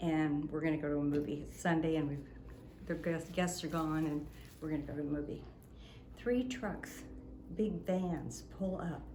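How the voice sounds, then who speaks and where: At a fairly slow pace, a woman with a very deep, low pitch speaks in an animated tone amid audible room echo. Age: 70s. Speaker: innkeeper. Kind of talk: storytelling in casual chat.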